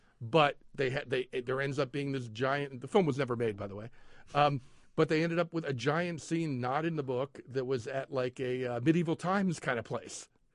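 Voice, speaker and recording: Against a quiet background, a man with an American accent talks at a moderate pace and fairly high pitch with ordinary pitch variation. He has a normal speaking voice. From Philadelphia area. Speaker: arts and entertainment editor at a newspaper. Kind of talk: casual chat. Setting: studio.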